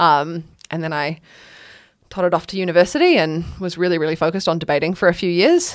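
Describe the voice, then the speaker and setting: With a New Zealand accent, a woman talks at a very fast pace in a fairly low pitch and fairly even intonation, on a very clean recording with a silent background. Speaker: spoken word poet. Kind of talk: casual chat.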